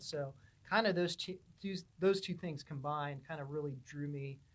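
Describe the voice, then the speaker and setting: A man with a Californian accent speaks at a fairly quick pace in a fairly high pitch. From Southern California, Huntington Beach. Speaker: pipeline engineering manager. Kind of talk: podcast interview. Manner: casual, with many fillers.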